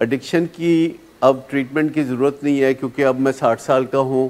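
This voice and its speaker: A man talks in a normal speaking voice at a medium pitch. His intonation stays fairly even. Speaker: addiction treatment specialist. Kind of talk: lecture.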